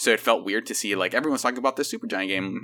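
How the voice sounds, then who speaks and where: This man speaks with an American accent. His tone is bright and sharp. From San Francisco Bay Area, US. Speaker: video game consultant. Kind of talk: casual chat.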